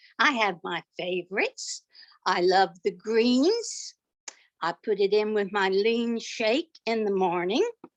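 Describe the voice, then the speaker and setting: In a dry, close recording with no echo and a quiet background, a woman speaks very slowly with lively intonation and a fairly high pitch. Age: 80s+. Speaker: customer sharing testimony. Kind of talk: testimony. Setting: online group call.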